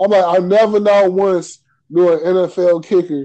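The voice has a dark, mellow tone and fairly even intonation. It moves at a very slow pace. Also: man. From Chicago. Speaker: podcast host. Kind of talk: casual chat.

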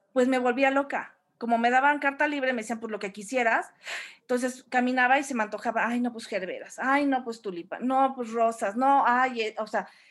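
On a very clean recording with a silent background, a woman speaks in a high pitch. She keeps a moderate pace with ordinary pitch variation. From Mexico, Orizaba, Veracruz. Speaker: graphic designer and event decorator. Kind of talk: interview.

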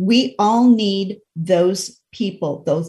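A woman speaks in a dark, mellow tone that is somewhat breathy. The background is quiet. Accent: American. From Idaho. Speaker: radio host and life coach. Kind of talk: casual interview chat.

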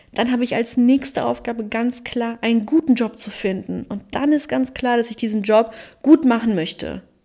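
A woman talks at a moderate pace in a fairly high voice with ordinary pitch variation. She has a plain, everyday voice. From Germany, Cologne. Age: 30s. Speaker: podcast host and life coach. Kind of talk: solo podcast monologue.

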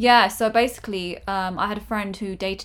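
Here is a woman with a normal speaking voice. Her pitch sits in the medium range and her intonation is fairly even. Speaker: podcast and YouTube co-host. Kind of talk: casual conversational podcast.

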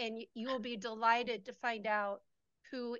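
This woman's fairly high voice stays monotone, with flat intonation. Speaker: fellow survivor, co-video participant. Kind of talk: prayer and supportive conversation. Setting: video call.

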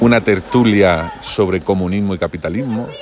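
Noticeable background noise around a man speaking with ordinary pitch variation. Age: 40s. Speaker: podcaster. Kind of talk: casual monologue. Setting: outdoors by a pool.

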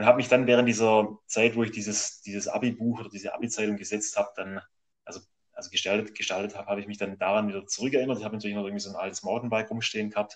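Talking at a very fast pace, a man with a fairly low pitch keeps a monotone, flat intonation while his loudness swings widely. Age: 30s. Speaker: amateur road cyclist and graphic designer. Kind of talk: interview. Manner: halting.

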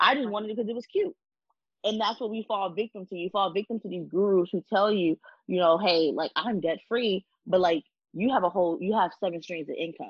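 Using an ordinary speaking voice, a woman talks at a fairly quick pace with a fairly high pitch and lively intonation. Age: 20s. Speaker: podcast co-host. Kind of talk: casual chat.

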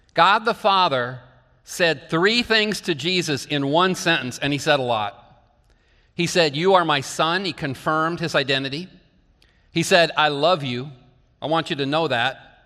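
Bright and sharp in tone, a man with an American accent speaks fairly slowly at a fairly high pitch with ordinary pitch variation, on a very clean recording with a silent background. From northeastern Iowa. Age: 50s. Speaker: pastor. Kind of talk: sermon.

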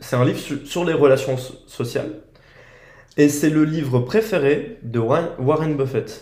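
A man's fairly high, somewhat breathy voice with a dark, mellow tone, ordinary pitch variation and a very slow pace, with audible room echo. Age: 20s. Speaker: podcast host. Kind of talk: casual chat.

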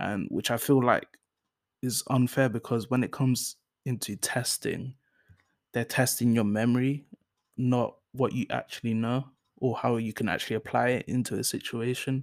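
A man with monotone, flat intonation and long, frequent pauses. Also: medium pitch for a man, moderate pace. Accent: London. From North London, England. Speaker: solo podcast host. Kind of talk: casual solo monologue. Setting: home recording on laptop. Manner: hesitant, many fillers.

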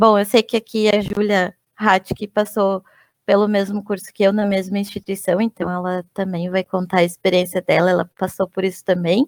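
Moderate pace and flat, monotone intonation on a very clean recording, silent behind, with dry, close sound and no echo. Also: woman, medium pitch for a woman. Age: 30s. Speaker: UX/UI designer. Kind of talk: casual chat.

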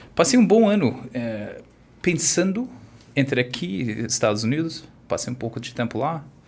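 Somewhat breathy and pitched in the middle range, this man's voice swings very widely in pitch as he talks at a moderate pace. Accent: American. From US, California (Orange County). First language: English (speaking Portuguese). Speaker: wine e-commerce entrepreneur. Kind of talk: interview. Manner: halting.

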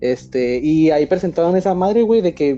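A man at a moderate pace. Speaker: podcast host. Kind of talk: casual chat.

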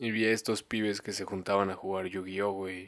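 A fairly low-pitched man with a Mexican accent, on a very clean recording with a silent background. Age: 20s. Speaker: podcaster. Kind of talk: casual monologue. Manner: halting, many fillers; uneven volume.

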